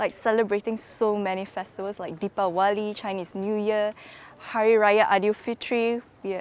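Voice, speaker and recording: The woman's pitch is medium. Her intonation stays monotone and flat. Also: moderate pace. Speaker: international visitor. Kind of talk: interview testimony.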